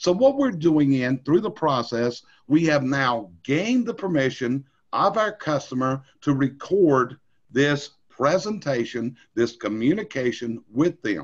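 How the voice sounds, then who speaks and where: With an American accent, a man talks at a fairly slow pace in a fairly high-pitched voice with lively intonation. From North Carolina. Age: 60s. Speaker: industry trainer. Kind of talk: training webinar. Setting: recorded screen session.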